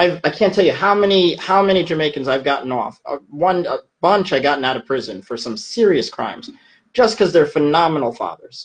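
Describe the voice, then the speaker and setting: A man with an American accent speaks at a fairly quick pace, his high pitch carried by lively intonation. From United States. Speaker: immigration attorney. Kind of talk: interview answers. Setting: video call. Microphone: video call.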